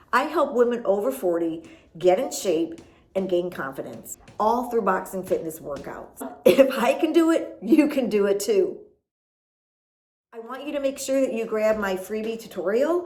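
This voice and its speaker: Speaking in an American accent, a woman sounds animated, with a fairly high pitch and very wide pitch swings. Audible room echo surrounds her voice. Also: moderate pace. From US Midwest, Chicago. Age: 50s. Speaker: boxing fitness coach. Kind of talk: motivational vlog.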